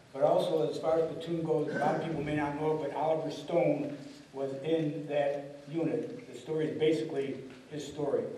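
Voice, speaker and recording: A man with an American accent speaks at a fairly quick pace, with fairly high pitch and fairly even intonation. Audible room echo and light background noise surround him. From Buffalo, New York. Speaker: Marine Vietnam veteran. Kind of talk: panel discussion. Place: hall.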